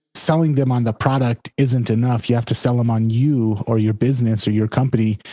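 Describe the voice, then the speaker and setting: The man's voice has a dark, mellow tone and fairly even intonation, recorded with a dry, close sound and no echo. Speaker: podcast co-host. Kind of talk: casual podcast chat.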